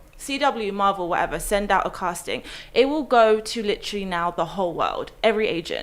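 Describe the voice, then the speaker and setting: A woman with an English accent speaks with ordinary pitch variation. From West London, England. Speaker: actress. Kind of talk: casual chat.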